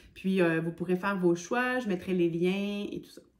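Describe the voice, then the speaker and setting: Her voice sits at a medium pitch, and the woman keeps her intonation fairly even. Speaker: hiking vlogger. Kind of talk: casual vlog talk.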